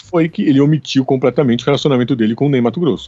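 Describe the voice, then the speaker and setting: A man talks at a very fast pace in a fairly high pitch, with ordinary pitch variation. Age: 40s. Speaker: podcast co-host, academic. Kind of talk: casual chat about film. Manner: halting, with repeated fillers.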